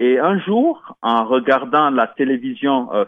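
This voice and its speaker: A man speaks with lively intonation. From Guinea (Conakry). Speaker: radio host. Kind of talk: solo radio monologue. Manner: hesitant, many fillers.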